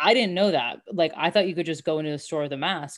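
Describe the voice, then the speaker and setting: This woman sounds animated and enthusiastic. Her pitch is fairly low, with ordinary variation. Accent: American. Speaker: mindset coach and podcast host. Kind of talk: casual interview chat. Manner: animated, enthusiastic.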